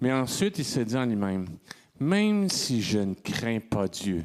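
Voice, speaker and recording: A man's medium-pitched voice at a very slow pace. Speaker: congregation member. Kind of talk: reading aloud. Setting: church. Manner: loud.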